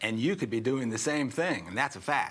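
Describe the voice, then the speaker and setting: In a medium pitch, a man talks at a moderate pace with ordinary pitch variation. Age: 60s. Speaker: health author and veteran. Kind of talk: interview. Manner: animated.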